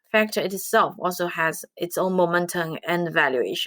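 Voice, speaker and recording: A woman speaks with a Chinese accent at a moderate pace. The recording is very clean with a silent background. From China. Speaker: quantitative finance researcher. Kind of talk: interview.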